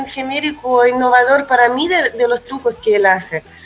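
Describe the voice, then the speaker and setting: A moderate pace in a Russian accent, with noticeable background noise. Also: woman. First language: Russian (speaking Spanish). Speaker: musician and producer. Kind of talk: casual interview.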